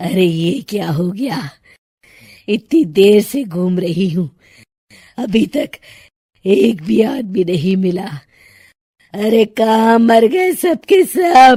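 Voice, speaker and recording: In a cartoonish character voice, the raspy speaker cackles at a very slow pace, with long, frequent pauses. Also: woman, medium pitch for a woman. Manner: cackling, menacing.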